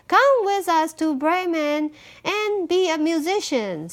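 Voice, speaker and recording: Putting on a squeaky character voice, a woman speaks at a fairly slow pace and an extremely high pitch. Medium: read story.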